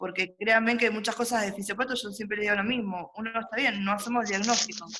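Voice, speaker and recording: At a fairly quick pace, a woman talks with a medium pitch and fairly even intonation. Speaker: university lecturer. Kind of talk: online class review session. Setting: video call. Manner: fast.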